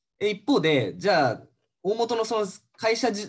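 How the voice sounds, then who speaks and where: A man talks in a high pitch. The background is quiet. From Japan. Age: 30s. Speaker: MBA student, former securities salesman. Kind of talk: casual interview, explaining. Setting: video call. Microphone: video call.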